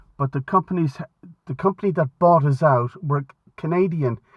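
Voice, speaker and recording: A man with a Limerick accent sounds somewhat breathy, talking at a moderate pace with ordinary pitch variation. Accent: Irish (Limerick). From Ireland, Limerick. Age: 60s. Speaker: retired aviation historian and author. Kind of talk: casual chat. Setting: phone call. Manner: halting.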